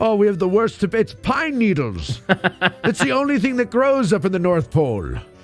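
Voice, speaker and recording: A put-on character voice comes through gravelly, raspy, and wheezy at a moderate pace. Clear music plays in the background. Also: man, high pitch for a man. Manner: jokey, ironic.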